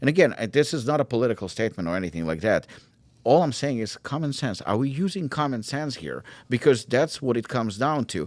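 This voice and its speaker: With an animated tone and vocal fry, a man speaks at a very fast pace and medium pitch, with very wide pitch swings on a very clean recording with a silent background. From Ukraine, Israel and South Africa. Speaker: supplement brand founder. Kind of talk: podcast interview.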